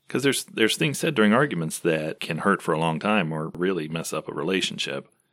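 Bright and sharp in tone, a man talks at a very fast pace on a very clean recording with a silent background. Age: 40s. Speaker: church elder. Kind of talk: casual chat.

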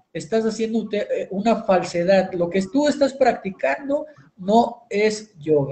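This is a man speaking at a high pitch. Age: 40s. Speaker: yoga teacher and show host. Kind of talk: talk show lecture. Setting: live stream.

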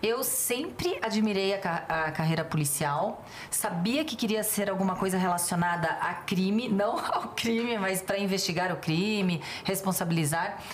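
Over noticeable background noise and audible room echo, a woman talks at a moderate pace in a medium pitch, with ordinary pitch variation and very even loudness. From Rio de Janeiro state, Niterói. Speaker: police chief and union president. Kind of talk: casual chat.

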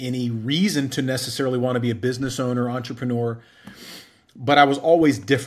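A plain, everyday voice from a man at medium pitch. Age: 40s. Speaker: entrepreneur. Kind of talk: interview.

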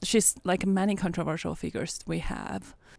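A woman speaks with a Chinese accent at a fairly low pitch. The recording is very clean, with a silent background. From China. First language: Mandarin Chinese. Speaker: podcast co-host, conference organizer. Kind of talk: casual chat. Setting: conference venue.

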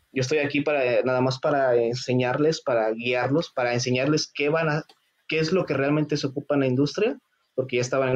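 This man has a plain, everyday voice with a medium pitch. He talks at a fairly quick pace, with very even loudness and fairly even intonation. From Mexico (Morelos). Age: 30s. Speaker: mechatronics engineer and robotics teacher. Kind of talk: casual interview chat.

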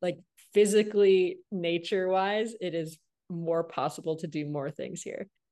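In a plain, everyday voice, a woman with an American accent talks at a moderate pace. Her fairly low pitch carries fairly even intonation over a quiet background. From US Midwest, Flint, Michigan. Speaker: author and entrepreneur. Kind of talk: podcast interview.

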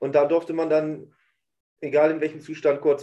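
At a moderate pace, a man speaks in a fairly high voice with a dark, mellow tone. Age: 40s. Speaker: podcast host. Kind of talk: casual chat.

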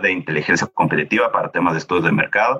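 A man talking at a very fast pace. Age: 30s. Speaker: project management office coordinator. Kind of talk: interview.

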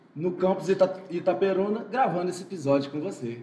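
Noticeable background noise sits behind a man speaking at high pitch with lively intonation and a moderate pace. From Espírito Santo, Brazil (Muqui). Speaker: physical education teacher. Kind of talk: casual interview.

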